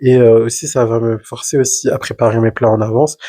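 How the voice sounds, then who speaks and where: A man's somewhat breathy voice at a medium pitch, dry and close with no echo in a very clean recording with a silent background. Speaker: podcast co-host. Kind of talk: casual chat. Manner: fast.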